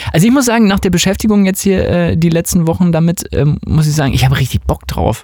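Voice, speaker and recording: Over noticeable background noise, a high-pitched man rattles along at a very fast pace with lively intonation, very even loudness and hardly any pauses. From West Germany. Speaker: music podcast host and dance music producer. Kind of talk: casual chat.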